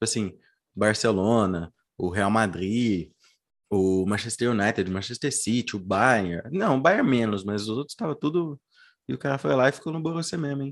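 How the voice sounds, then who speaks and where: Against a quiet background, a man with an ordinary speaking voice talks at a medium pitch using lively intonation. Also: moderate pace. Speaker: football podcast host. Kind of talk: casual chat.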